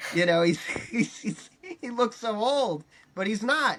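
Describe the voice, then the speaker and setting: Over noticeable background noise, a man with an American accent speaks at a moderate pace with lively intonation. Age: 20s. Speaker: comedian and filmmaker. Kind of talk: casual chat.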